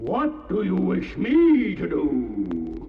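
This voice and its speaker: A man's put-on character voice with a clear echo. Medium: audio drama. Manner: imperious, commanding.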